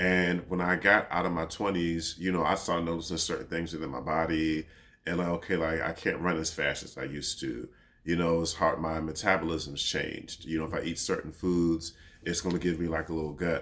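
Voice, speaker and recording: This man's very deep, low voice has a bright, sharp tone and a flat monotone as he talks fairly quickly. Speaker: podcast host. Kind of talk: casual monologue.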